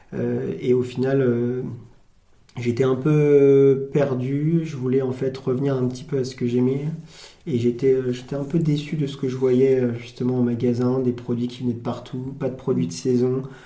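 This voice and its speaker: Monotone, flat intonation from a man at medium pitch and fairly slow pace, with audible room echo. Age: 20s. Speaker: farm shop owner. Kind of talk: casual interview.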